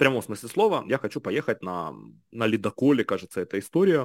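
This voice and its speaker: Pitched at a medium level, a man's voice swings very widely in pitch. The sound is dry and close with no echo, on a very clean recording with a silent background. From Ukraine, Kharkiv and Kherson region. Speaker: entrepreneur. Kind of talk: interview.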